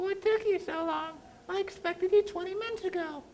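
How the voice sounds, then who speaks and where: A squeaky, extremely high-pitched put-on character voice at a fairly quick pace. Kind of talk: 1890s melodrama. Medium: stage play. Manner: falsely sweet, hesitant.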